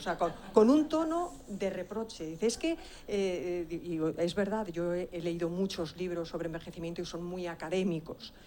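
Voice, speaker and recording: A woman speaks in a dark, mellow tone. Her medium pitch moves with ordinary variation. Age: 60s. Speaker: author, audience member. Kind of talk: question from the floor at a conference. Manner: halting.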